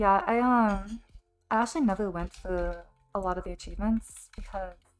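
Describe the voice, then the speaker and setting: With music in the background, a woman with an American accent speaks at a moderate pace and medium pitch, her pitch varying in an ordinary way. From US Pacific Northwest. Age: 20s. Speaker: game streamer. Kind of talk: live gameplay stream chat. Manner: hesitant, many ums.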